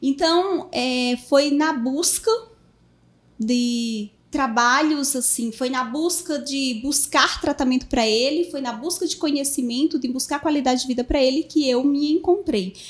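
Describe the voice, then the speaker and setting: A woman's high voice with ordinary pitch variation and a fairly slow pace, in a Paraíba accent. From Brazil, Paraíba. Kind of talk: podcast interview. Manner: halting, many fillers.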